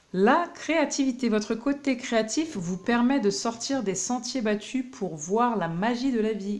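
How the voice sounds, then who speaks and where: Over noticeable background noise, a woman with a fairly high voice speaks fairly slowly with lively intonation and hardly any pauses. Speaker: tarot card reader. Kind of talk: tarot reading. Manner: hesitant, many fillers.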